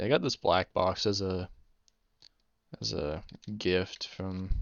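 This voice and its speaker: This man's voice has a very deep, low pitch. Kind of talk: casual gameplay commentary. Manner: stuttering, hesitant; unscripted, rambling with pauses.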